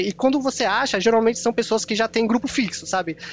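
Very fast, high-pitched male speech with ordinary pitch variation over noticeable background noise. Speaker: podcast editor. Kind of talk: casual chat.

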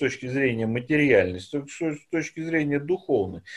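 Here a man is heard on a very clean recording with a silent background. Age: 50s. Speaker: political scientist, professor. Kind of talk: interview.

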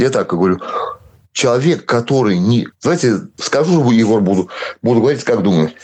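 The speech moves at a moderate pace with long, frequent pauses. Pitch swings very widely while loudness stays very even. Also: man, medium pitch for a man. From Belarus (moved from Siberia at 7). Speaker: local protest activist. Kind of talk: interview.

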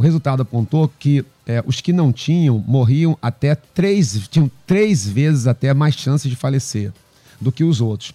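Lively intonation at a fairly slow pace, with very even loudness, dry, close sound with no echo and music in the background. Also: man, medium pitch for a man. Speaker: pastor. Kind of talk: panel discussion on faith. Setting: radio studio with cameras.

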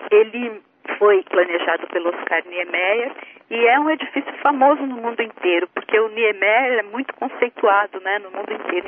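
This woman's delivery moves along at a moderate speed. The rise and fall of her pitch is ordinary. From interior of São Paulo state, Brazil. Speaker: writer and translator. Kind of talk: radio interview.

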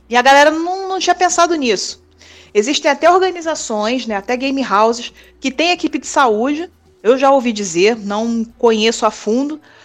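Music plays in the background as a woman speaks at a moderate pace. Her pitch is high and her intonation lively. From Brazil, Rio de Janeiro city. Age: 30s. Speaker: sports nurse. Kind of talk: interview. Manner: casual.

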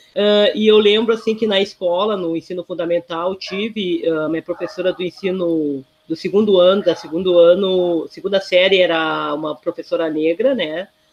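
A woman speaks with a plain, everyday voice at a medium pitch. Her intonation is fairly even, and she leaves hardly any pauses. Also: moderate pace. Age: 50s. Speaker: social worker. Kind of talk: interview.

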